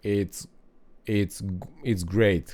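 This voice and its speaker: A man with a non-native accent and a dark, mellow tone at a very slow pace, on a very clean recording with a silent background. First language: not English. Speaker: gaming guide creator. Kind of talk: gameplay tutorial. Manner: halting, many fillers.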